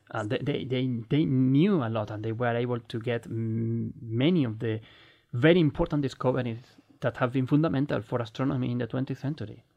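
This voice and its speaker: Medium pitch for a man, with ordinary pitch variation. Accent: Spanish. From Spain. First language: Spanish. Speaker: astronomer and podcast co-host. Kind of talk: casual chat.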